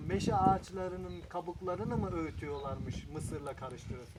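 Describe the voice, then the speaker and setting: Speaking with hardly any pauses, a man uses a high pitch and lively intonation at a moderate pace over noticeable background noise. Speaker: interviewer. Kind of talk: casual interview questions.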